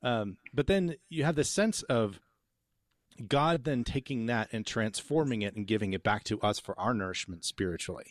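A man speaks at a moderate pace with lively intonation and medium pitch in a normal speaking voice. The background is quiet. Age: 40s. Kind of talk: theological discussion.

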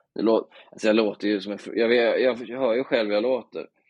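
A plain, everyday voice speaks at a moderate pace. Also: man. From Bohuslän, Sweden. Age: 30s. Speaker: journalist. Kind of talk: casual chat.

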